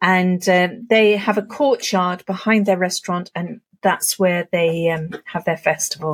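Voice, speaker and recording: A somewhat breathy woman speaks at a fairly slow pace with a medium pitch and ordinary pitch variation, in a dry, close sound with no echo. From Herefordshire, England. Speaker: podcast co-host. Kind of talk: casual chat.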